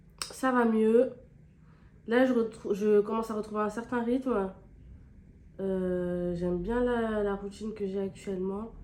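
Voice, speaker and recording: A woman's fairly high voice at a very slow pace, with long, frequent pauses and fairly even intonation, amid noticeable background noise. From France, Clermont-Ferrand area, of Guinean heritage. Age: 20s. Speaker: beauty YouTuber. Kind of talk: casual chat while doing makeup. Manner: casual, hesitant with many fillers.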